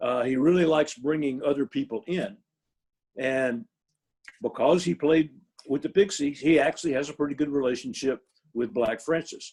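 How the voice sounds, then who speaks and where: The pace is moderate, with ordinary pitch variation. Long, frequent pauses break up the speech. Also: man, fairly high pitch for a man. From US South, Shreveport, Louisiana. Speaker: band manager. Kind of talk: interview. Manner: hesitant, many fillers.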